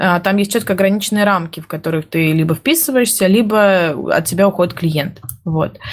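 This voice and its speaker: A woman's unremarkable speaking voice, moderate in pace, with ordinary pitch variation and very even loudness. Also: medium pitch for a woman. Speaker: project manager. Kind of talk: casual chat. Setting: studio.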